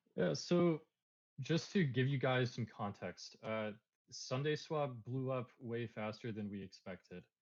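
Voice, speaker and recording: A medium-pitched man with an American accent and ordinary pitch variation. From United States. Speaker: crypto project co-founder. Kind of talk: AMA Q&A. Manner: halting, many fillers.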